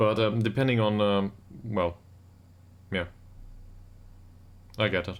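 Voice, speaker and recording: A man with a German accent speaks at a fairly slow pace in a fairly low voice, with fairly even intonation and long, frequent pauses. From Germany. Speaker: video game streamer. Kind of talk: live stream chat. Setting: home live stream. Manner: halting.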